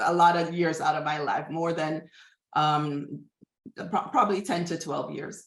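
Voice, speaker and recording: In a Jamaican accent, a woman speaks at a fairly slow pace with long, frequent pauses. Her pitch is fairly low and her intonation fairly even. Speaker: behavioral scientist. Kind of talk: interview. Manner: halting.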